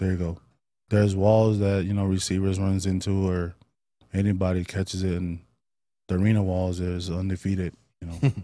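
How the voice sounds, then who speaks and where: A man's very deep, low voice in an American accent, dark and mellow, with monotone, flat intonation, a fairly quick pace and long, frequent pauses, on a very clean recording with a silent background. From East Oakland, California. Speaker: football player. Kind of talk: casual interview.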